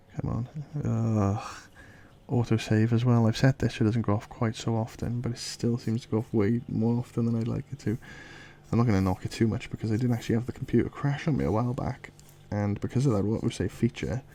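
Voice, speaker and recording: A soft-spoken man talks very fast with a British accent. His medium-pitched voice has a dark, mellow tone and fairly even intonation. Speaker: illustrator. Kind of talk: casual drawing commentary.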